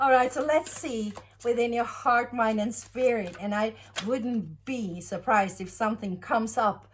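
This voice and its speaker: A woman with a Norwegian accent speaks at a fairly slow pace in a fairly high, somewhat breathy voice with ordinary pitch variation. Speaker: tarot reader. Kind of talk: tarot reading monologue. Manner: halting, many fillers.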